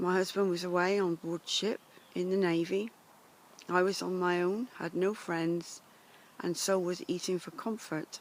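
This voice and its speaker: In an English accent, a woman speaks at a fairly slow pace with a medium pitch and monotone, flat intonation. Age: 70s. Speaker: life coach. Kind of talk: personal introduction monologue. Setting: outdoors in woods.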